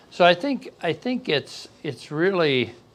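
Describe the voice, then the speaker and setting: Using an ordinary speaking voice, a man talks at a fairly slow pace with lively intonation. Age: 60s. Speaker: business consultant. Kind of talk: podcast interview.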